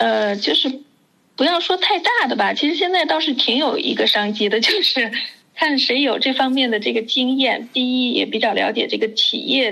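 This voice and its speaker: Raising and projecting her high voice, a woman speaks at a moderate pace with lively intonation. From China, Wuhan. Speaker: education expert. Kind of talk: casual chat.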